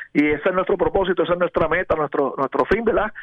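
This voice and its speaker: A man at a high pitch and a very fast pace, with ordinary pitch variation. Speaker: police lieutenant. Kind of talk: radio interview.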